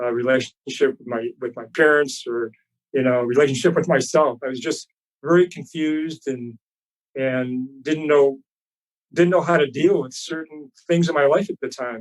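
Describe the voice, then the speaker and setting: Using a plain, everyday voice, a man speaks at a fairly high pitch and a moderate pace with ordinary pitch variation. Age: 60s. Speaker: chiropractor and fitness trainer. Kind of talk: interview answer.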